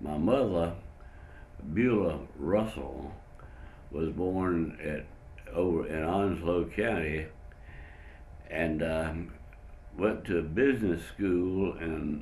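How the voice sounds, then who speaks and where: Speaking with a Southern US accent in a very deep, low pitch, a man goes at a very slow pace with long, frequent pauses, ordinary pitch variation and audible room echo. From North Carolina (Whiteville). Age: 90s. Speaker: retired pharmacist, war veteran. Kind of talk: interview testimony. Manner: halting, with many fillers.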